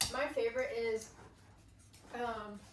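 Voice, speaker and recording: There is noticeable background noise and audible room echo. A woman is speaking. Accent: American. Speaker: vlogger. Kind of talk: casual chat.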